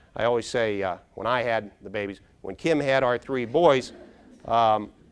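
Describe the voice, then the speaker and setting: A man with a western Pennsylvania accent, at a moderate pace. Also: big swings in loudness. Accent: western Pennsylvania American. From Pittsburgh area, Pennsylvania. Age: 50s. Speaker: brain health speaker. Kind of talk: keynote talk. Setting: stage with audience. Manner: animated.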